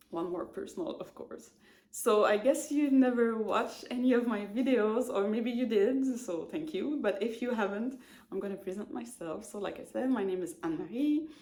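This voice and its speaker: In a Quebec accent, a woman with a fairly high pitch and a dark, mellow tone speaks at a moderate pace. Her intonation is lively, and audible room echo surrounds her. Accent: Québécois French accent in English. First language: French. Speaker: knitting podcaster. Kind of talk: casual chat. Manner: halting, many fillers.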